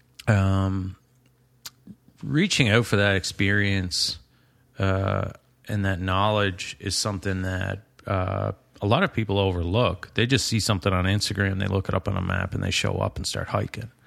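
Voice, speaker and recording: Against a quiet background, a man with a normal speaking voice talks at a moderate pace, fairly low in pitch, with fairly even intonation. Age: 30s. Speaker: carpenter and hiker. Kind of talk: casual chat.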